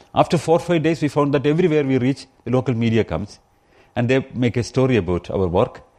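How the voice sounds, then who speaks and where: Over a quiet background, a man with a Keralan accent talks at a very fast pace in a dark, mellow tone at a medium pitch, with lively intonation. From India, Kerala. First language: Malayalam. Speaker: rationalist activist and guest speaker. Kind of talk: public talk. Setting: pub talk with live audience.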